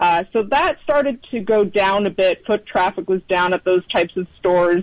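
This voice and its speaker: Speaking at a moderate pace, a woman has an ordinary speaking voice at medium pitch. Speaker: financial journalist. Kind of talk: interview.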